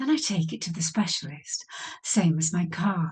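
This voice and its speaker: A woman with an English accent is soft-spoken throughout. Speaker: podcaster, former hypnotherapist. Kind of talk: casual monologue introduction. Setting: home studio.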